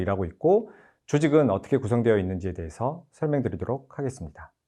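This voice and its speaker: With a dark, mellow tone, a man speaks at a very fast pace and his pitch swings very widely. The background is quiet. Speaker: game producer presenting at developer conference. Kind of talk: conference presentation. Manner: formal.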